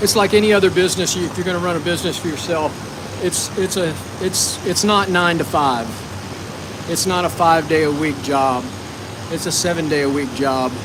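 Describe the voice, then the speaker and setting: A man's high voice at a fairly quick pace with long, frequent pauses and ordinary pitch variation, amid audible room echo and noticeable background noise. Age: 60s. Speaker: shear sharpener. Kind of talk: live stream demonstration chat. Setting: workshop. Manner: casual, conversational.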